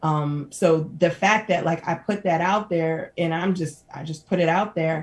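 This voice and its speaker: Here is a woman speaking. Her pitch is fairly low. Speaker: social entrepreneur, non-profit founder. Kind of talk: casual interview. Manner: loud, energetic.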